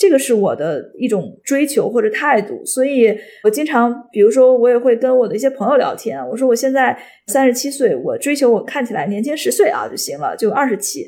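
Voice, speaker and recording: A woman talks fairly quickly in a high voice, her pitch swinging very widely. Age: 30s. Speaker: podcast co-host, company founder. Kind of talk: casual podcast conversation.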